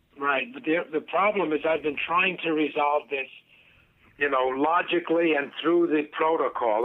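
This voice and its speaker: This is a plain, everyday voice moving at a moderate pace. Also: man. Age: 60s. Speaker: caller, laid-off telecom worker. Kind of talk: casual chat. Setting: phone call.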